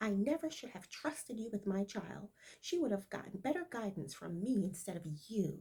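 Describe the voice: This is plain reading aloud. Its intonation sounds lively.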